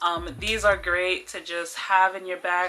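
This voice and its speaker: Over music in the background, a woman with a New York accent speaks at a fairly slow pace in a monotone, flat intonation. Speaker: travel vlogger. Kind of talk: tutorial. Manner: casual, many filler ums.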